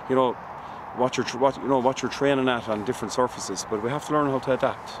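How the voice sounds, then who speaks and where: The speech moves at a fairly quick pace. The sound is dry with no echo, and background noise is noticeable. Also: man. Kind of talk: interview answer. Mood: calm, measured after a win. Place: open country.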